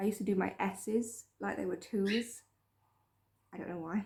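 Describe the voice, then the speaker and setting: Somewhat breathy and dark, mellow in tone, a woman speaks at a moderate pace with fairly even intonation. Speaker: vlogger. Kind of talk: personal story vlog.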